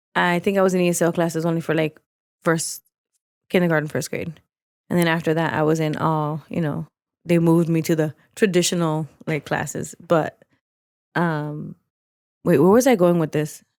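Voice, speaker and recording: A woman with a Spanish accent, fairly low in pitch and fairly even in intonation, with long, frequent pauses and a dry, close sound free of echo. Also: moderate pace. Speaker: podcast co-host. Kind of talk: casual chat.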